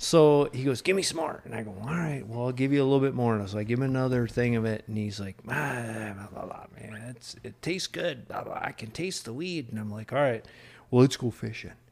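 In an American accent, a man speaks fairly quickly at a medium pitch with ordinary pitch variation and big swings in loudness, over noticeable background noise. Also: hardly any pauses. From US East Coast, small factory town. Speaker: podcast guest. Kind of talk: casual chat.

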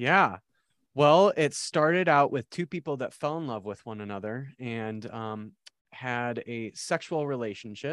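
With an American accent, a man in an ordinary speaking voice talks at medium pitch and a fairly slow pace, with lively intonation and big swings in loudness, dry and close with no echo against a quiet background. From South Dakota, US Midwest. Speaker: theology podcast host, seminary worker. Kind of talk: casual interview chat.

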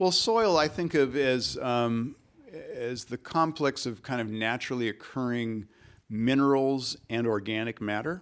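This man has a normal speaking voice and an American accent. He talks at a fairly slow pace with ordinary pitch variation. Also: medium pitch for a man. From Michigan, US Midwest. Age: 60s. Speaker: ecologist and naturalist. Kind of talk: interview conversation.

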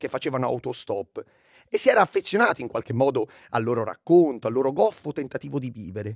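With a fairly high voice and very wide pitch swings, a man talks at a very fast pace in a dry, close sound with no echo. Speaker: podcast narrator. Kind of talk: true-crime narration, storytelling. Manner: steady, dramatic, suspenseful storytelling.

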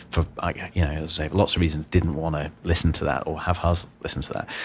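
Speaking at a very fast pace with a very deep, low pitch, a man talks in a Yorkshire accent on a very clean recording with a silent background. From northern England, Wakefield, Yorkshire. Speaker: entrepreneur and former policy advisor. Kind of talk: casual interview chat. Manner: chatty with frequent fillers.

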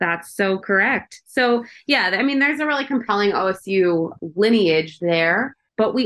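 A woman with an American accent speaks at a moderate pace and medium pitch. Her intonation is lively, in an unremarkable speaking voice. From Chicago. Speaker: college football podcast host. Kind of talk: casual chat.

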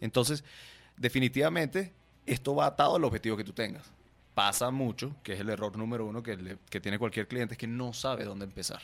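This man's medium-pitched voice moves very fast and shows ordinary pitch variation. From Venezuela, raised in Guatemala. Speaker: marketing agency founder. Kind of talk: casual interview.

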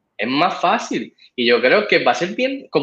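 A man speaks in a high pitch. His voice makes very wide pitch swings. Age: 40s. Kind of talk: casual interview.

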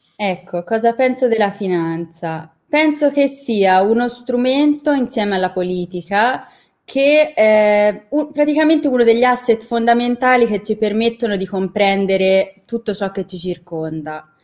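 Lively intonation marks a woman's unremarkable speaking voice, fairly high in pitch and at a fairly slow pace. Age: 20s. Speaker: university student and intern. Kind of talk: interview conversation.

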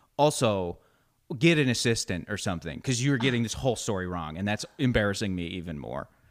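Loud and very fast, a man with a fairly low pitch makes very wide pitch swings on a very clean recording with a silent background. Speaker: comedian and actor. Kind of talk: casual interview chat.

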